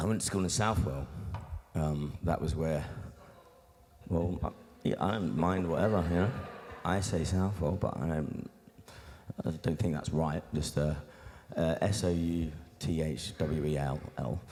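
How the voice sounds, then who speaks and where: With an English Midlands accent, the speaker moves at a fairly slow pace with ordinary pitch variation, very even loudness and long, frequent pauses, over noticeable background noise. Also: man, very deep, low pitch for a man. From Nottingham, England (born in Australia). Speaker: beatboxer and musician. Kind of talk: interview. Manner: casual, halting with many fillers.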